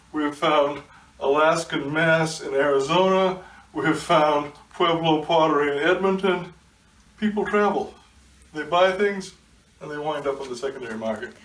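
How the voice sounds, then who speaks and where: Long, frequent pauses break up a man's fairly high-pitched speech. Noticeable background noise and audible room echo fill the recording. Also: ordinary pitch variation, moderate pace. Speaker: art collector. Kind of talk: interview. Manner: halting, many fillers.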